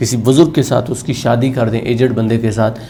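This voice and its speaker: Noticeable background noise sits behind the voice. A man speaks at a medium pitch. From Pakistan. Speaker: motivational speaker, radio jockey. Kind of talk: motivational lecture.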